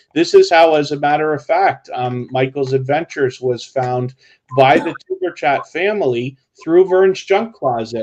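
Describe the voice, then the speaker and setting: At a moderate speed, a man talks. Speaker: YouTube live streamer. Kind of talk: casual chat. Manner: halting.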